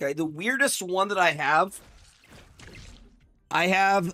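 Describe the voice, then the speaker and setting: A man shouts loudly in a high voice. The recording is very clean, with a silent background. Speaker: gaming streamer. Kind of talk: live stream commentary. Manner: loud, yelling.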